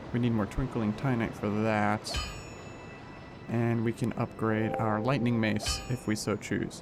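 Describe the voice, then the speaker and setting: A man at medium pitch, monotone and flat in intonation, at a fairly slow pace with very even loudness and music in the background. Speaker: gaming youtuber. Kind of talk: let's play commentary.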